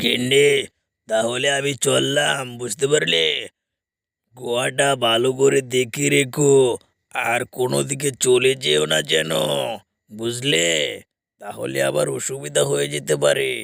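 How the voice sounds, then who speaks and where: A man's cartoonish character voice at medium pitch, with very wide pitch swings and a fairly slow pace. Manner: hurried, repeats himself.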